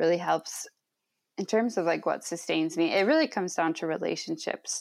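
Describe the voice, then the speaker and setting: A woman in an Upper Midwest accent, fairly low in pitch, at a moderate pace with fairly even intonation. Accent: Upper Midwest American. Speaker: social worker and podcaster. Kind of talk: interview conversation. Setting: at parents' house.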